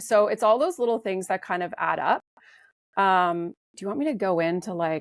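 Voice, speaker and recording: A woman with a normal speaking voice uses medium pitch, lively intonation and a moderate pace, in dry, close sound with no echo on a very clean recording with a silent background. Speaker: supplement company co-founder. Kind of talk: interview. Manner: casual with fillers.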